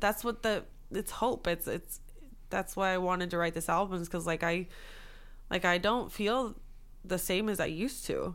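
On a very clean recording with a silent background, a woman at a medium pitch speaks at a moderate pace with fairly even intonation and long, frequent pauses. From US West Coast, Los Angeles area. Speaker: songwriter and producer. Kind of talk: casual interview chat.

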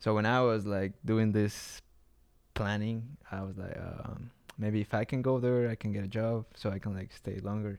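Flat, monotone delivery at a moderate pace, with a Mexican accent. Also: man, fairly low pitch for a man. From Mexico City, Mexico. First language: Spanish. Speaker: artist and traveler. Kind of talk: casual interview chat.

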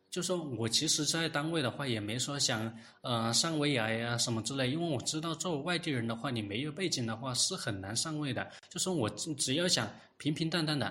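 Bright and sharp in tone, a man's fairly high voice moves at a moderate pace with lively intonation. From Hunan, Yueyang. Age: 30s. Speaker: government employee and independent researcher. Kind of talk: interview testimony. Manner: halting, with many filler sounds.

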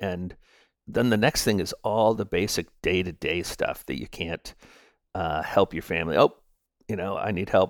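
Here a man talks at a moderate pace. The recording is very clean with a silent background and a dry, close sound with no echo. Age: 50s. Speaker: storyteller sharing personal testimony. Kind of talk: testimony. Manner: halting, with many fillers.

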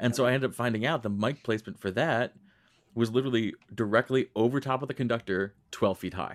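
A man speaks very fast at a medium pitch with ordinary pitch variation, in a dry, close sound with no echo and a very clean recording against a silent background. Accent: American. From Western New York, Rochester. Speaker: podcast host and singer. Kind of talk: interview.

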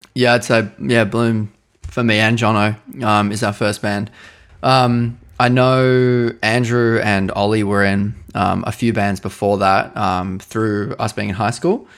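Fairly slow speech in an Australian accent with fairly even intonation. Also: man, fairly low pitch for a man. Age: 20s. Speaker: guitarist and singer in a band. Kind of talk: casual interview.

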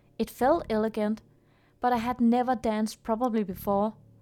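A woman's fairly high-pitched voice with music in the background. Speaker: podcast host and film student. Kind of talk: ghost story reading aloud, slow and atmospheric. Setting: attic recording. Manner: hushed, suspenseful, dramatic narration.

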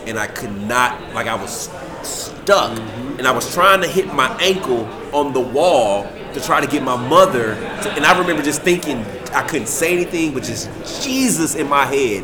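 Noticeable background noise runs under the recording. A man speaks at a fairly high pitch with lively intonation. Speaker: paranormal investigator, TV cast member. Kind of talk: casual group interview.

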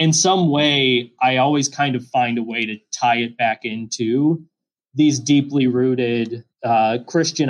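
An unremarkable speaking voice with fairly even intonation at a fairly slow pace. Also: man. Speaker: filmmaker. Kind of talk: casual chat.

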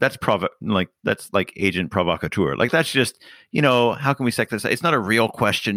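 In a Canadian accent, a man speaks with a bright, sharp tone and very wide pitch swings, the sound dry and close with no echo on a very clean, silent-background recording. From Canada. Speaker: podcast co-host, author. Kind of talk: casual chat. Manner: halting, many repetitions.

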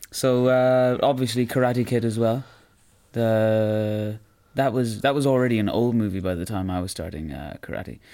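With an Irish accent, a man speaks at medium pitch and a moderate pace in a dark, mellow tone with ordinary pitch variation, on a very clean recording with a silent background. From Ireland, Roscommon. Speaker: karate practitioner and podcast co-host. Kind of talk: casual chat.

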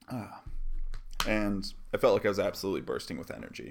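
In an unremarkable speaking voice, a man talks at a fairly quick pace with fairly even intonation. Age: 20s. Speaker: podcast host. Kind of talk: personal storytelling monologue. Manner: casual with frequent fillers.

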